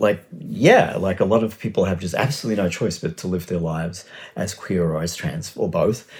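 A man's somewhat breathy voice at a fairly low pitch. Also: fairly quick pace. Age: 60s. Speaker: writer. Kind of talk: casual chat.

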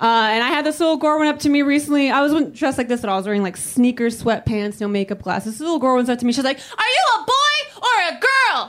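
With an American accent, a woman talks at a very fast pace, high-pitched and with lively intonation, hardly pausing at all. Noticeable background noise runs underneath. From Salvadoran family, US. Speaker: stand-up comedian. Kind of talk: stand-up.

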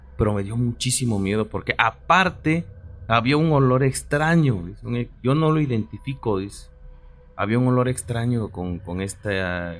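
Music plays in the background as a man speaks. His pitch is medium and his pace moderate. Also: lively intonation. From Mexico, Oaxaca. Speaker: radio co-host. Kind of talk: casual chat.

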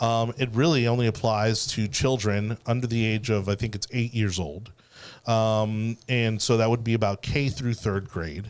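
A man with an American accent speaks in a plain, everyday voice at medium pitch, keeping a moderate pace and fairly even intonation. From Miami, Florida. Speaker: political podcast host. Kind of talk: casual political panel chat. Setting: studio with video.

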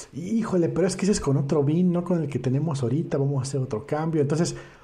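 A man speaks in a dark, mellow tone with ordinary pitch variation. His voice is somewhat breathy. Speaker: podcast host. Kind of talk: casual chat. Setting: live stream.

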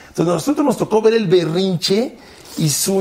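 A man with lively intonation, against noticeable background noise. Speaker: sports commentator. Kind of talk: casual chat. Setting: studio.

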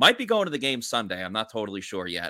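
A man speaks with vocal fry and a bright, sharp tone, his pitch swinging very widely. The recording is very clean and close, dry with no echo and a silent background. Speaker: sports podcast host. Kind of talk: casual sports chat.

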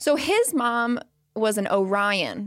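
The recording is very clean with a silent background, and the pitch varies in an ordinary way. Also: woman. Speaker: podcast guest; financial influencer. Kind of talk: casual conversational.

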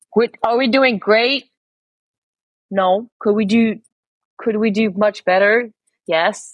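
In a Quebec accent, a woman speaks at a very slow pace with long, frequent pauses. Her fairly high voice keeps fairly even intonation and very even loudness. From Quebec, Montreal. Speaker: spearfisher and former lawyer. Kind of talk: podcast interview.

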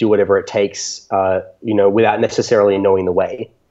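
A man with an Australian accent speaks at a fairly quick pace in a fairly low, dark, mellow voice. The background is quiet. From Australia, Canberra. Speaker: electronic music DJ and producer. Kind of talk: interview.

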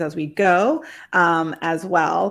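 On a very clean recording with a silent background, a woman talks at a fairly low pitch. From New England. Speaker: podcast host. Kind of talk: interview. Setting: livestream.

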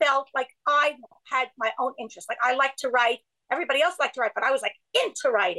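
A woman with an American accent speaks in a raised, projected voice at high pitch and a very fast pace. Her tone is bright and sharp, with a dry, close sound and no echo. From Brooklyn, New York. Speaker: writer and organization co-founder. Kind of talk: casual interview. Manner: halting, many restarts.

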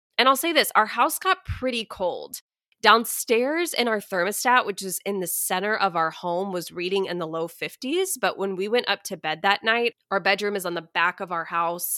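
A woman's medium-pitched voice in an American accent, bright, sharp, and animated in tone, with lively intonation, a moderate pace, and hardly any pauses, the sound dry and close with no echo on a very clean recording with a silent background. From Texas. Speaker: podcast host and money coach. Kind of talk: solo podcast monologue.

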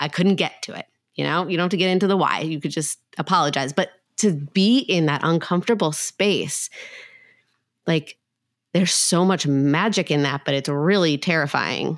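A woman's unremarkable speaking voice, fairly low in pitch with ordinary pitch variation and a moderate pace, on a very clean recording with a silent background. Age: 30s. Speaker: podcast host, clinical psychologist. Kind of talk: casual interview chat.

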